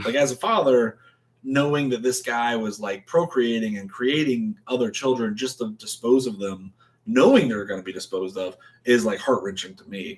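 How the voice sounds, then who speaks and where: In a normal speaking voice, a man with an American accent talks at a moderate pace and medium pitch, with ordinary pitch variation and big swings in loudness. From Florida. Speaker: podcast co-host. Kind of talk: casual chat.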